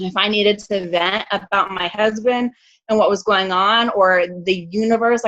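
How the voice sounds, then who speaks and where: A woman's bright, sharp tone at a medium pitch. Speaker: network marketing coach, guest speaker. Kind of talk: motivational team call talk. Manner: fast; casual, animated.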